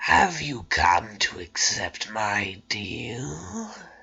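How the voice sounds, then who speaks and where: A raspy, fairly low put-on character voice from a man, delivered at a very slow pace. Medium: stage play. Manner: sly, coaxing.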